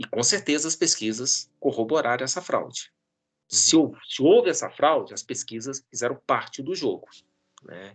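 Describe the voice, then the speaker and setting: Against a quiet background, a man with an unremarkable speaking voice talks fairly slowly with lively intonation and big swings in loudness. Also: fairly high pitch for a man, dry, close sound with no echo. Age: 50s. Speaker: professor and pollster. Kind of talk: interview.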